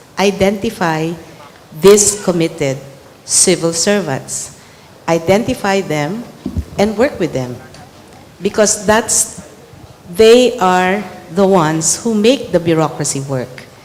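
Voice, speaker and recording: Over noticeable background noise, the voice moves very slowly with lively intonation and long, frequent pauses. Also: woman, medium pitch for a woman. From Philippines. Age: 60s. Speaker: government secretary, former community organizer. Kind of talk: panel dialogue answer.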